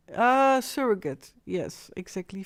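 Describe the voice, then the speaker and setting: A woman speaks very slowly with a Dutch accent and ordinary pitch variation. The recording is very clean, with a silent background. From Netherlands. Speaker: live streamer. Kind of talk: live stream monologue. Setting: live stream at home. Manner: halting, searching for English words.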